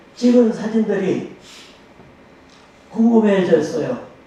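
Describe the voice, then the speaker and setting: Against noticeable background noise and audible room echo, a man speaks at a very slow pace. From Korea, Boryeong, South Chungcheong. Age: 80s+. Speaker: photographer. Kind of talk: interview talk on stage.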